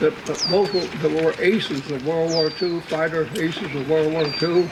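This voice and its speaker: A man with a Pacific Northwest accent speaks over noticeable background noise. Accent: Pacific Northwest American. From Washington State, USA. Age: 80s+. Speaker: retired Air Force lieutenant general. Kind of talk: birthday celebration speech.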